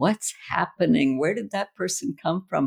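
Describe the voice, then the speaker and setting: A woman with lively intonation and vocal fry. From San Francisco, refugee childhood. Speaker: writer. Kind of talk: interview conversation.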